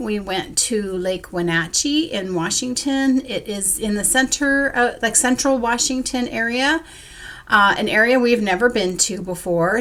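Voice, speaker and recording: A woman with an ordinary speaking voice talks at a fairly slow pace, her intonation lively. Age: 60s. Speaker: crafting vlogger, school worker. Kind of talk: casual vlog monologue.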